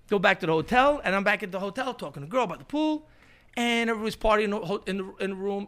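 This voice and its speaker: A man with a New York accent talks very fast in an animated tone, his pitch high and its variation ordinary. The recording is very clean, with a silent background. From New York City, Queens (Astoria). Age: 50s. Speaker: punk musician. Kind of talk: casual chat.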